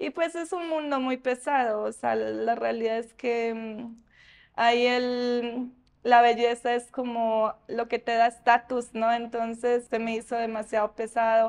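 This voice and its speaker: Against a quiet background, a woman with a fairly high voice speaks very slowly, her intonation fairly even. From Colombia, Antioquia (Ituango); Antioquia, Colombia. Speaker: interviewee, former promo model; interviewee. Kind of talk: interview. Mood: reflective, calm. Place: shop.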